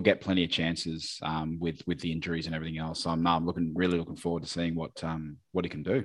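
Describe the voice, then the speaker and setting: Against a quiet background, a man with an Australian accent speaks in a very deep, low voice. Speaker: podcast host. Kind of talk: casual chat.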